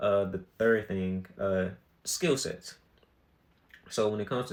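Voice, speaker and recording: A man with a fairly low pitch. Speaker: podcast host. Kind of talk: solo podcast monologue. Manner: casual, filler-heavy.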